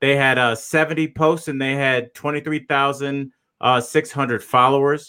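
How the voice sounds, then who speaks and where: A man with an ordinary speaking voice talks at a moderate pace, medium in pitch with fairly even intonation. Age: 40s. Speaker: comedian and podcast host. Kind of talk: casual chat.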